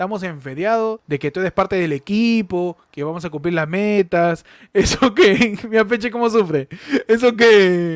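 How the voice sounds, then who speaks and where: In a very clean recording with a silent background, a man speaks at a moderate pace, the sound dry and close with no echo. His pitch is high for a man, with ordinary variation. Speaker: podcast co-host. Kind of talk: casual comedic chat.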